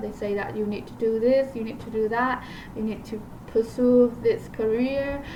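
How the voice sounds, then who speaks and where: A woman's fairly high voice with a non-native accent, fairly slow and fairly even in intonation, over noticeable background noise. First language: not English. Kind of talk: casual talk to camera. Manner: hesitant, many fillers.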